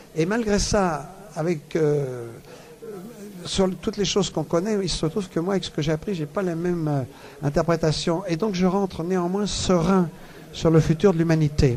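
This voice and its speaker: Noticeable background noise sits behind a man with a high-pitched voice. He talks at a moderate pace with ordinary pitch variation. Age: 70s. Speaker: world traveller and author. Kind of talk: radio interview. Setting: book fair radio booth.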